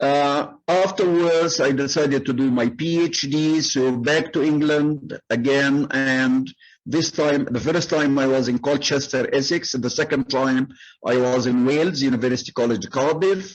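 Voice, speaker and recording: The speaker has an Arabic accent and talks at a fairly slow pace, with ordinary pitch variation and very even loudness. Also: man, fairly high pitch for a man. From Egypt, Cairo. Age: 70s. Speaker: retired migrant, former English lecturer. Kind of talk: oral history interview. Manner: frequent hesitations.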